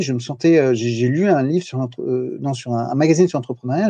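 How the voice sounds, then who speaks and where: Here a man speaks at a fairly high pitch with ordinary pitch variation. His tone is dark and mellow. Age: 40s. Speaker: entrepreneur, podcaster. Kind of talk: casual interview. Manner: halting, many fillers and repetitions.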